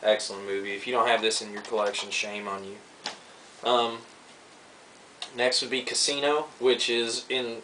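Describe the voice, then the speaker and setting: Over noticeable background noise, a man at medium pitch talks with fairly even intonation, long, frequent pauses and big swings in loudness. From Kentucky. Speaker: film collector vlogger. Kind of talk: casual video review. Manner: casual, many fillers.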